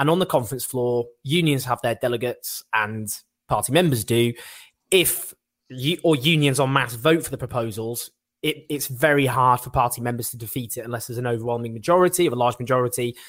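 A man speaks fairly quickly at a medium pitch, with ordinary pitch variation. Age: 30s. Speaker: political podcast host. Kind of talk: political discussion. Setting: video call.

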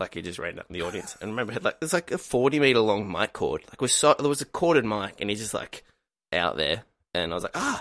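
Speaking at a very fast pace, a man with medium pitch makes very wide pitch swings, recorded with a dry, close sound and no echo. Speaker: comedian and writer. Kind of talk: casual chat. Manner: casual, hesitant with filler words.

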